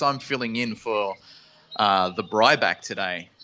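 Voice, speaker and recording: This man has an Australian accent and a medium pitch. He talks at a moderate pace with ordinary pitch variation. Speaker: guest co-host of wrestling live reaction stream. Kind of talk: live watch-along commentary. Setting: live stream.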